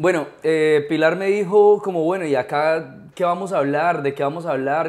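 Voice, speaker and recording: This man's voice has ordinary pitch variation. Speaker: podcast host. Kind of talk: interview host chat. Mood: relaxed, cheerful. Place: home room. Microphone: lapel.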